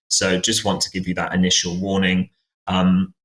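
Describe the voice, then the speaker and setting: Speaking with a British accent, this voice moves along at a moderate pace. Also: man. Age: 20s. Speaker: podcast host. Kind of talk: podcast conversation. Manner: hesitant, many fillers.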